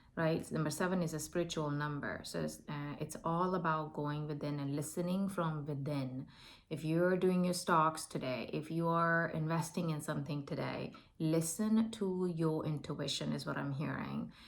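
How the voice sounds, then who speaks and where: Audible room echo surrounds a woman with an Indian accent and a very deep, low pitch. She speaks at a moderate pace with fairly even intonation. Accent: non-native English, Indian. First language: not English (Indian language). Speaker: tarot and oracle card reader. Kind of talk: spiritual oracle reading to camera. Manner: halting, many fillers.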